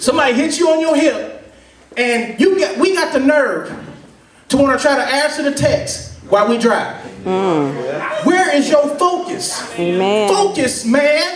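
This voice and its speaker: The tone is energetic and the pace fairly slow, with very even loudness against noticeable background noise. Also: man, extremely high pitch for a man. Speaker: preacher / sermon speaker. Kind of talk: sermon to a live congregation. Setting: live church gathering with audience responses. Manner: energetic, conversational, call-and-response. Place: hall.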